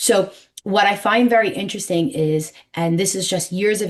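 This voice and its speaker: In a New York accent, a woman talks at medium pitch. Her tone is animated. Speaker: numerologist. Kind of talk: interview. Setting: podcast.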